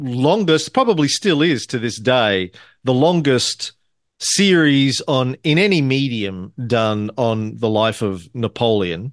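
A man with an unremarkable speaking voice talks at a fairly slow pace, at a medium pitch, with lively intonation. The sound is dry and close with no echo, over a quiet background. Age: 50s. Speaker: podcast host. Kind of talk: casual chat.

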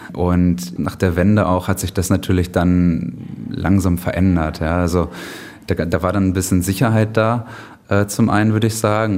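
A man with a very deep, low pitch talks at a moderate pace and with fairly even intonation, noticeable background noise behind him. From Germany. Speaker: author and blogger about a city. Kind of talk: interview.

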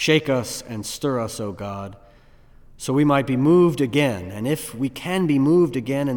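Lively intonation marks a man's normal speaking voice, delivered at medium pitch and a moderate pace. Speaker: pastor. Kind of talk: fervent prayer. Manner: earnest, pleading, solemn.

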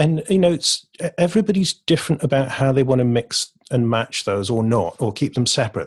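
A somewhat breathy man with an English accent, lively intonation, and a fairly quick pace, on a very clean recording with a silent background. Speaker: poet and creative coach. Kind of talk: casual interview chat.

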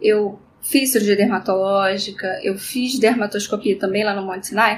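Fairly slow, fairly even speech from a woman with a normal speaking voice at a medium pitch. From Rio de Janeiro, Brazil. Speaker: dermatologist. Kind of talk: interview.

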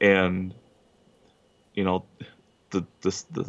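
A man speaks with an Upper Midwest accent at a fairly low pitch. His pace is very slow. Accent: Upper Midwest American. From Wisconsin, Kenosha. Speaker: machinist and pizza delivery driver. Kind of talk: casual interview.

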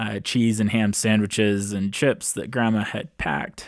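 Fairly slow and with fairly even intonation, an unremarkable speaking voice comes through in a very clean recording with a silent background. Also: man. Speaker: podcast host. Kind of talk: podcast monologue, partly reading grandma's memoir aloud. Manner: conversational, friendly.

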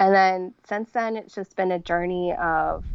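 Using an ordinary speaking voice, a woman talks at a moderate pace in a medium pitch with fairly even intonation. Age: 30s. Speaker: person living with multiple sclerosis. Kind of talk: casual interview.

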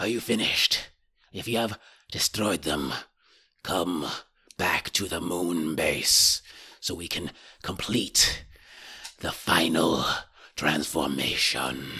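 A man puts on a raspy character voice with a very deep, low pitch and ordinary pitch variation. He talks at a fairly slow pace, with long, frequent pauses. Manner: menacing, calm.

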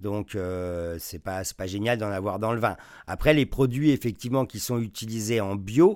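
A man with an unremarkable speaking voice talks at a fairly slow pace and a fairly low pitch, with ordinary pitch variation. His loudness swings widely, and the recording is very clean with a silent background. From France. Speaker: wine journalist and sommelier teacher. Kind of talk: interview.

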